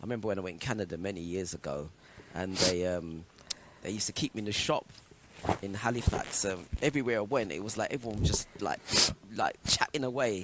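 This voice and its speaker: A man with a fairly low pitch and ordinary pitch variation talks very fast, broken by long, frequent pauses. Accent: English. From England. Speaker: radio show presenter. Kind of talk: casual chat.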